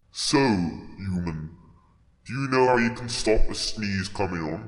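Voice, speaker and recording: A man puts on a character voice at a fairly low pitch, with a clear echo around him. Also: fairly slow pace. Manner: gruff, dim-witted, good-natured.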